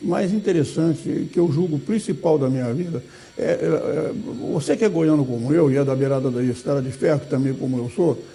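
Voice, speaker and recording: A man's lively intonation comes through noticeable background noise as he talks at a moderate pace. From Brazil, southeastern Goiás (Goiandira). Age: 80s+. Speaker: retired law professor and lawyer. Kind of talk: interview. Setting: studio. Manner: halting, frequent repetitions.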